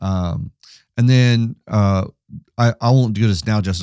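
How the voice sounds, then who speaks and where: A man speaks fairly quickly in a normal speaking voice, with ordinary pitch variation. The sound is dry and close with no echo, on a very clean recording with a silent background. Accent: American. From US West Coast. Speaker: pastor and podcast co-host. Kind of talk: casual theological conversation.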